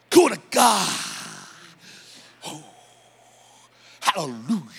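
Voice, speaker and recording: A man puts on a character voice pitched high. He speaks at a moderate pace. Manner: fervent, exclaiming.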